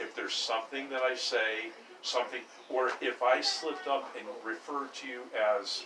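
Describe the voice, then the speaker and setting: A man talks at a moderate pace with noticeable noise in the background. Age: 60s. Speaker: landlord. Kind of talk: casual chat.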